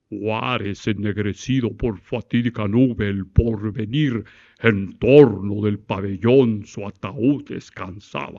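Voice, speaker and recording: A man puts on a booming, guttural character voice with a pompous tone. He speaks at a fairly slow pace in a fairly low pitch. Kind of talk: declamatory, oratorical. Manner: pompous, artificially resonant.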